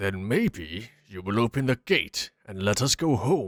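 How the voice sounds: A cartoonish character voice at a fairly slow pace. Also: man, fairly low pitch for a man.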